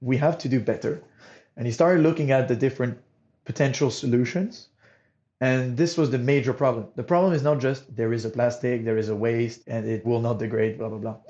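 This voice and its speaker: A man with a Monegasque accent, fairly quick pace and ordinary pitch variation. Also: medium pitch for a man. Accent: non-British accent, from Monaco. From Monaco. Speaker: startup co-founder, materials engineer. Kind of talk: interview.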